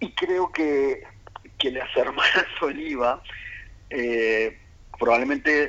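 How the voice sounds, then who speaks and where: A man talks with ordinary pitch variation. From Uruguay, Montevideo. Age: 40s. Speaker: writer and researcher, statistician. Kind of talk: radio interview. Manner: hesitant, many fillers.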